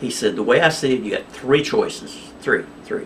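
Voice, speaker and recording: With an American accent and a medium pitch, a man's voice swings very widely in pitch amid audible room echo. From Oklahoma. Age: 60s. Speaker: cryptocurrency vlogger. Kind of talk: casual monologue to camera. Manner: agitated, manic; halting, many fillers.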